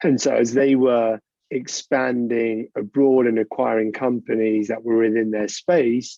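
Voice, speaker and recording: A man with a British accent talks at a fairly slow pace with fairly even intonation. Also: medium pitch for a man. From United Kingdom. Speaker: corporate lawyer. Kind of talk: interview. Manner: conversational.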